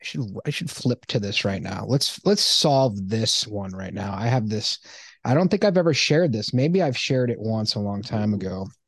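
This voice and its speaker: Against a quiet background, a man talks at a moderate pace. His pitch is medium and his intonation lively. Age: 40s. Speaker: podcast host. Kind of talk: casual chat. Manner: animated.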